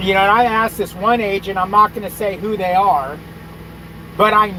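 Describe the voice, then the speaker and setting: A man's raised, projected voice, high-pitched for a man, at a moderate pace over noticeable background noise. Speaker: truck driver youtuber. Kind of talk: casual livestream chat.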